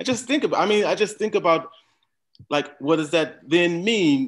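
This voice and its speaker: In an American accent, a man speaks at a fairly high pitch with lively intonation and a moderate pace. The background is quiet. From Minnesota. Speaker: speaker. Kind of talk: panel discussion. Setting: video call. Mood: reflective, critical. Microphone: video call.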